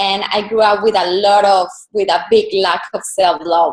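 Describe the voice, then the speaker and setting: In a Colombian accent, a woman talks at a fairly slow pace. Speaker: personal brand and style coach. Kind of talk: interview.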